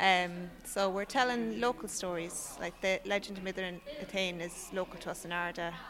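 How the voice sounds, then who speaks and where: A woman with an Irish accent speaks at medium pitch and a moderate pace, with ordinary pitch variation and hardly any pauses. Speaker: storyteller. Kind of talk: casual interview chat. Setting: outdoors at festival.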